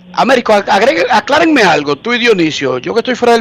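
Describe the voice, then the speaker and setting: A man's voice in very wide pitch swings, over noticeable background noise. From Dominican Republic. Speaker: sports journalist, radio co-host. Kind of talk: radio sports talk show. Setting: remote line from US into radio show.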